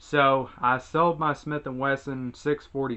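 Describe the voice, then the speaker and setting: A man at a medium pitch and a moderate pace. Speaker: gun reviewer. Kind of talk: casual talk to camera.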